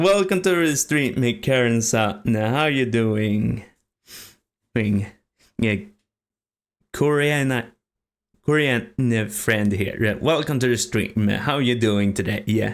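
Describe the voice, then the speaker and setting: A man's medium-pitched voice at a very slow pace, with ordinary pitch variation, very even loudness and long, frequent pauses, in a very clean recording over a silent background. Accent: Swedish. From Sweden. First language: Swedish. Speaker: streamer. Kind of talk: casual chat. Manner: halting.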